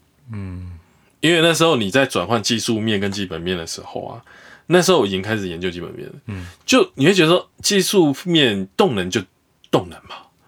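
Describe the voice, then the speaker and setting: A man's fairly quick delivery, full of very wide pitch swings and big swings in loudness, on a very clean recording with a silent background. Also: medium pitch for a man. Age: 40s. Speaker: investor, former stockbroker. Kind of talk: interview. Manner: animated.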